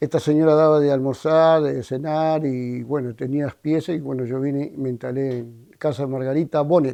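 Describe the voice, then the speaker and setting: At a moderate pace, a man with an Argentine accent speaks in a dark, mellow tone. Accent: Argentine Spanish (rioplatense-pampeano). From Argentina, La Pampa (General Acha). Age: 60s. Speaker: retired townsman interviewee. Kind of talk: interview testimony. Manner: halting.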